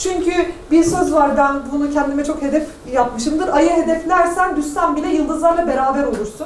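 Audible room echo and light background noise surround speech at a fairly slow pace. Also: woman. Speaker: business association founder and panel speaker; speaker. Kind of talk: panel talk. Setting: university event with audience. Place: classroom. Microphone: camera far.

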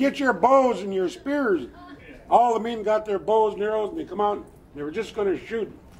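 Over light background noise, a man talks with an American accent and a high pitch. His tone is animated. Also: moderate pace. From US Pacific Northwest, Lummi Nation; Pacific Northwest. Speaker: storyteller. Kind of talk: traditional storytelling. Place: street. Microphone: camera far.

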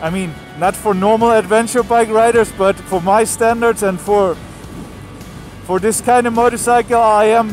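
A man with a high voice speaks at a moderate pace in fairly even intonation, the sound dry with no echo and faint music in the background. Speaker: motorcycle travel vlogger. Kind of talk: casual vlog chat. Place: motorbike.

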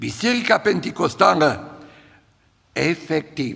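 A man's voice with vocal fry and a slightly husky edge

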